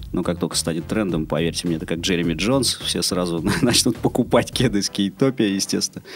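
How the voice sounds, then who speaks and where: A man's very deep, low voice moves at a moderate pace, with noticeable noise in the background. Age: 30s. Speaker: longboard shop owner and skate school co-founder. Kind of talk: casual interview.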